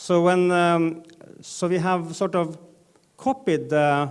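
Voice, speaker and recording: A man talks at a very slow pace in a high voice. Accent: Norwegian. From northern Norway. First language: Norwegian. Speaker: data journalism editor, conference panelist. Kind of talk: conference panel talk. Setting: stage with audience. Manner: halting, many fillers.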